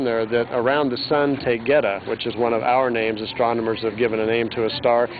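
Music plays in the background. The man's voice sounds dry, with no echo. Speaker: conference interviewee. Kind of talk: interview answer. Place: street.

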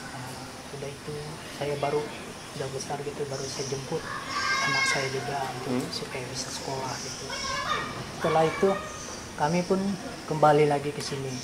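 Crowd noise can be heard in the background. A man talks over it at a fairly quick pace. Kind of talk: interview answer. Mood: earnest, reflective. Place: cafe.

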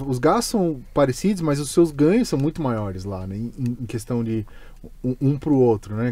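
A man with a Brazilian accent speaks at a fairly high pitch in a dark, mellow tone, with very wide pitch swings. His pace is moderate, and the sound is dry with no echo. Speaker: podcast host. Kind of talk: casual chat; casual podcast conversation. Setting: studio. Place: studio. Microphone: studio mic.

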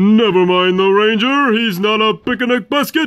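A cartoonish character voice, fairly high in pitch, at a moderate pace. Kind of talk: cartoon voice impressions.

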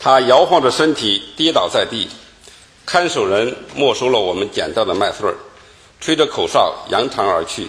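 The voice belongs to a man. He talks at a fairly slow pace. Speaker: lecturer giving formal address. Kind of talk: formal lecture, storytelling read aloud. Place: hall. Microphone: podium.

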